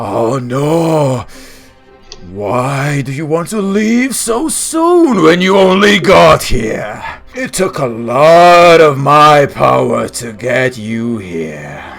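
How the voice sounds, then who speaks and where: A man uses a put-on character voice at a fairly high pitch. He speaks very slowly as music plays in the background. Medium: actual play. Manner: chilling, mocking, smoothly menacing.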